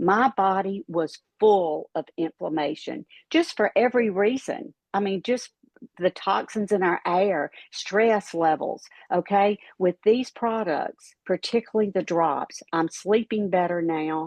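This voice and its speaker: A woman speaks at a fairly slow pace in a normal speaking voice, medium in pitch, with lively intonation. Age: 60s. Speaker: retired pharmacist, product promoter. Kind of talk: testimony and sales pitch.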